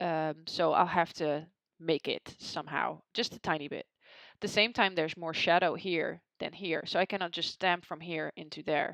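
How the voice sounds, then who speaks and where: A woman's fairly low voice at a moderate pace against a quiet background. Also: fairly even intonation. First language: not English. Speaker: photographer. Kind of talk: tutorial. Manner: casual, with hesitations.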